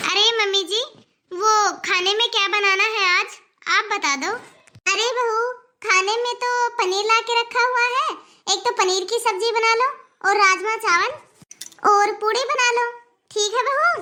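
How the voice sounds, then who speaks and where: Using a cartoonish character voice with an extremely high pitch, a woman talks at a moderate pace with long, frequent pauses. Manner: warm, affectionate.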